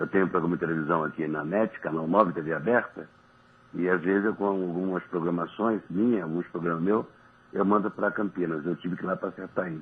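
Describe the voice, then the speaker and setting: Speaking at a fairly quick pace, a man with a very deep, low voice keeps his intonation fairly even. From Niterói, Rio de Janeiro state, Brazil. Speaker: former professional footballer. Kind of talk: radio interview chat. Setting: radio studio.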